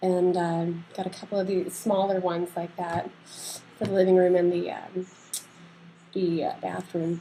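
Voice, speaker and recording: A soft-spoken woman talks at a moderate pace with medium pitch. Her intonation is monotone and flat, broken by long, frequent pauses. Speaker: vlogger sharing health updates. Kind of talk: casual video diary. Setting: at home. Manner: halting.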